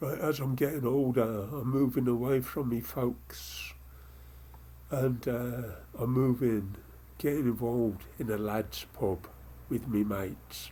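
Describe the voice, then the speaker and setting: A man speaks very slowly at a medium pitch, his dark, mellow tone somewhat breathy and his pitch varying in an ordinary way. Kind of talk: poetry reading.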